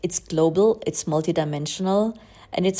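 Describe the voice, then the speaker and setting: Speaking fairly slowly with a non-native accent, a woman has a fairly low pitch, ordinary pitch variation and a dark, mellow tone, recorded very cleanly against a silent background. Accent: non-native English speaker. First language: German. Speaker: spiritual astrology coach. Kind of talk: podcast monologue.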